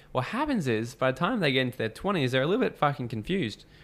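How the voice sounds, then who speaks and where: Talking at a very fast pace, a man with an Australian accent uses a medium pitch and lively intonation. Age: 20s. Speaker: entrepreneur and mentor. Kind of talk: casual interview chat. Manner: animated.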